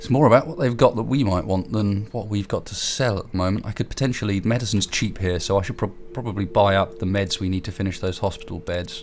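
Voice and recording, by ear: Talking fast with few pauses, a man speaks at a fairly low pitch. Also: ordinary pitch variation.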